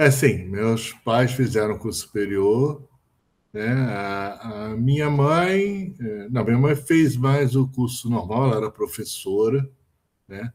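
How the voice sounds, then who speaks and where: This man talks very slowly in a medium pitch, with ordinary pitch variation. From Brazil, Rio de Janeiro. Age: 60s. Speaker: physicist, professor. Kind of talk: interview. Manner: hesitant, with fillers.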